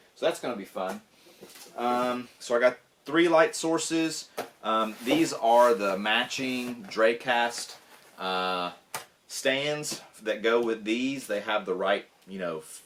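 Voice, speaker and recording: A man talks at a very slow pace with medium pitch, lively intonation and big swings in loudness. Noticeable background noise runs under his voice. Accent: Southern US. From US South. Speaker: tech YouTuber. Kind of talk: unboxing video. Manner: casual, filler-heavy. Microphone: camera's built-in mic.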